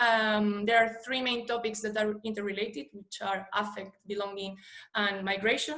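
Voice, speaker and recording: Someone speaks with a Spanish accent amid audible room echo. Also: woman. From Spain. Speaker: PhD researcher. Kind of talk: conference presentation. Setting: online conference video call. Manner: hesitant, many fillers.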